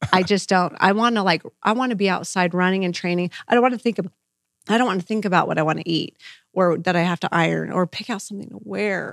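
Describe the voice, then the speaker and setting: On a very clean recording with a silent background and a dry, close sound with no echo, a woman with an American accent talks very fast at a medium pitch with ordinary pitch variation. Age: 40s. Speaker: marathon runner and teacher. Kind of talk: casual interview chat.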